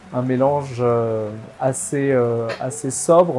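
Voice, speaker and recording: A man's medium-pitched voice with fairly even intonation, music in the background. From southwest France (Bergerac / Bordeaux area). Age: 20s. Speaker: antiques dealer. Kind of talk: interview testimony. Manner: hesitant, many fillers.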